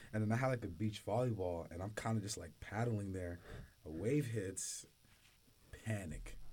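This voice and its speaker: Speaking at a moderate pace with long, frequent pauses, a man uses a fairly low, somewhat breathy voice with a dark, mellow tone and ordinary pitch variation. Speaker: student podcast co-host, college football player. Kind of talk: casual chat.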